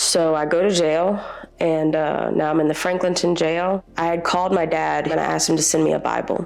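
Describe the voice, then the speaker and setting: A woman with a Louisiana accent, fairly low in pitch and fairly quick, monotone with flat intonation and very even loudness, amid noticeable background noise and audible room echo. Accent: Southern US (Louisiana). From US South, Louisiana (Covington). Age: 30s. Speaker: shelter resident. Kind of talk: testimony. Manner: hesitant, with fillers.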